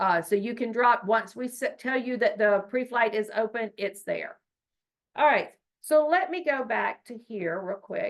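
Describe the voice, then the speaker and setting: A woman speaks at a fairly slow pace in an unremarkable speaking voice, with fairly high pitch and lively intonation. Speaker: state education data trainer. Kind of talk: training webinar presentation.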